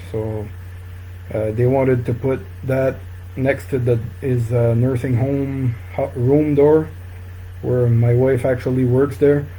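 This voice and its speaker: A man's medium-pitched voice in a French Canadian accent, fairly slow with long, frequent pauses and ordinary pitch variation, amid audible room echo and noticeable background noise. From northern New Brunswick, Canada. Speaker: fly tying instructor. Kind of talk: live-stream tutorial. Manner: halting, many fillers.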